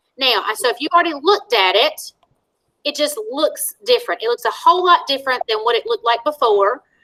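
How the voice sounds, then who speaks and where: In a raised, projected voice with a bright, sharp tone, a woman speaks high and at a fairly quick pace, her pitch swinging very widely, in a dry, close sound with no echo. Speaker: school technology trainer. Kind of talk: online staff training. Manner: fast.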